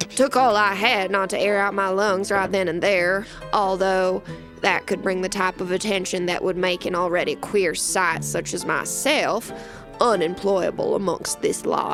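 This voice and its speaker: A put-on character voice drawls at a moderate pace. Music plays clearly in the background. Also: woman, medium pitch for a woman. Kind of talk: western first-person narration. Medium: audio drama. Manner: drawling, folksy frontier idiom.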